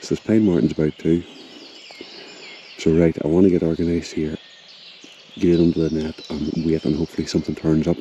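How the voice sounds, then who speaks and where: A man talks quietly at a very fast pace in a very deep, low pitch. Noticeable background noise runs underneath. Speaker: wildlife photographer. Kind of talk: vlog narration. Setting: outdoors in a forest.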